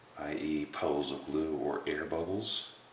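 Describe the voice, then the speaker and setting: A soft-spoken man talks with audible room echo. Noticeable background noise sits behind him. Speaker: bowyer. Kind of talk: tutorial. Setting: home workshop at night.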